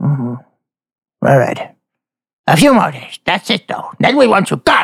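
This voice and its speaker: A man puts on a raspy character voice, high-pitched, with very wide pitch swings at a moderate pace. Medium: actual play. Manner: curt, disdainful.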